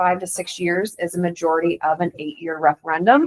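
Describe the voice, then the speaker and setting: A woman with an ordinary speaking voice talks at a fairly quick pace in a fairly low pitch. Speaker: school district finance official. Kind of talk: presentation to school board.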